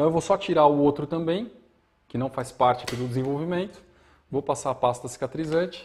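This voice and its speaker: Somewhat breathy, a man speaks fairly quickly at a fairly high pitch with ordinary pitch variation. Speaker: bonsai teacher. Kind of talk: live demonstration tutorial. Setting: live stream from studio. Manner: fast.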